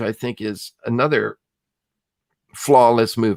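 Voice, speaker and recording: A man's normal speaking voice with a Canadian accent, medium pitch and fairly slow pace, in a dry, close sound with no echo. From Canada, Ontario (Kitchener-Waterloo area). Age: 60s. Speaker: film critic. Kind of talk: casual interview.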